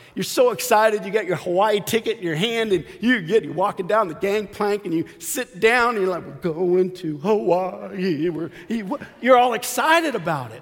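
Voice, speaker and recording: Amid noticeable background noise, a high-voiced man speaks at a moderate pace with lively intonation and big swings in loudness. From Arizona. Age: 50s. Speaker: lay preacher. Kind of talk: sermon. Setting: church.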